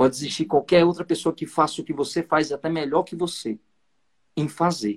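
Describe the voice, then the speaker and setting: This man has a fairly high pitch and talks at a moderate pace. The sound is dry and close, with no echo. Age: 30s. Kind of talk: lecture. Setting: video call.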